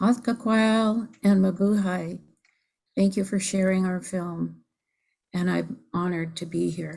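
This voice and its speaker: With an American accent, a woman speaks at medium pitch and a fairly slow pace, her dark, mellow tone somewhat breathy and her intonation fairly even against a quiet background. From US Pacific Northwest, Bainbridge Island, Washington. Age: 70s. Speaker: filmmaker. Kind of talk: panel Q&A. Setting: video call.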